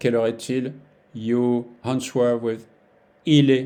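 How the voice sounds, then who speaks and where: A man talks in a French accent with a dark, mellow tone. His pace is fairly slow and his intonation monotone and flat. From France. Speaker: French teacher. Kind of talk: language lesson tutorial. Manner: slow, repeating phrases for learners; halting, with many fillers.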